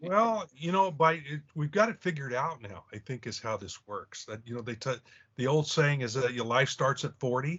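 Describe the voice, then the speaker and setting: In a normal speaking voice, a man talks at a moderate pace with a fairly high pitch and lively intonation. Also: big swings in loudness. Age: 60s. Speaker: podcast co-host, comic artist. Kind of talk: casual chat.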